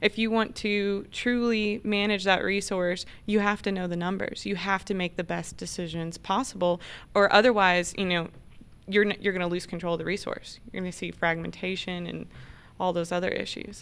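A woman with an American accent has a plain, everyday voice, at a medium pitch, a moderate pace and with fairly even intonation. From Oklahoma. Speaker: ranch manager. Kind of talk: casual chat.

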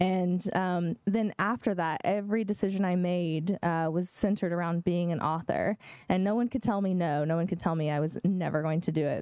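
With an American accent, a woman speaks in a dark, mellow tone, fairly low in pitch with ordinary pitch variation. Her loudness is very even, and she takes hardly any pauses. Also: moderate pace. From Oklahoma, Eufaula. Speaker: fantasy author. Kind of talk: bookstore event interview.

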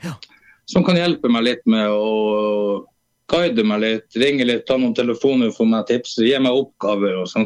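Pitch moves with ordinary variation. The delivery goes at a fairly slow pace. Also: man, medium pitch for a man. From Eastern Finnmark, northern Norway. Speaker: singer-songwriter. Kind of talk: casual interview.

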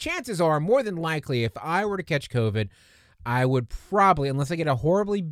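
In a normal speaking voice, the speaker goes at a moderate pace with lively intonation. The recording is very clean, with a silent background. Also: man. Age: 40s. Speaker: podcast host. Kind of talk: casual solo podcast monologue. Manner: conversational, with frequent fillers and restarts.

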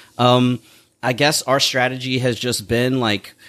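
A man's unremarkable speaking voice at medium pitch and a moderate pace. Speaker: comedy theater owner and filmmaker. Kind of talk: casual chat. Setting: bar patio.

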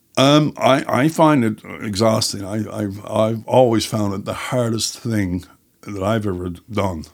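On a very clean recording with a silent background, the speaker uses a Newfoundland accent, a moderate pace and ordinary pitch variation. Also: man. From Newfoundland, Canada (St. John's and Placentia Bay). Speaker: writer and screenwriter. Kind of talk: casual chat.

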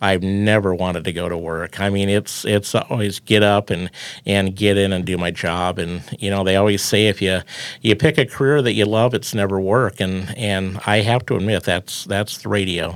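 A man speaks with a Midwestern American accent. His pitch is fairly low and his pace moderate. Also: fairly even intonation. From Iowa, US Midwest. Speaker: farm radio broadcaster. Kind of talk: casual interview chat.

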